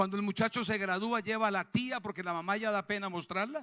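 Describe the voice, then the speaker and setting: Speaking fairly quickly with a Colombian accent, a man uses a high pitch and a bright, sharp, animated tone, the sound dry and close with no echo. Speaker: pastor. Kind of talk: sermon. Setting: church.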